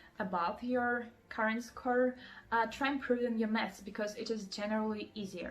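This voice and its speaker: A woman's somewhat breathy, fairly high voice moves at a moderate pace with fairly even intonation. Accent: Russian. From Russia, Moscow. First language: Russian. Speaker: student vlogger. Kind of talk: advice vlog. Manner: many fillers (um, like).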